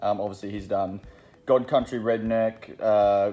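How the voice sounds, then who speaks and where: Faint music plays in the background as the voice moves at a moderate pace. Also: man. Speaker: comic shop staff. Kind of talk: casual product rundown. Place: shop. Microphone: phone near.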